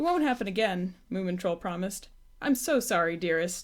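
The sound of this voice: Intonation rises and falls in a lively way. The delivery is an unforced reading voice.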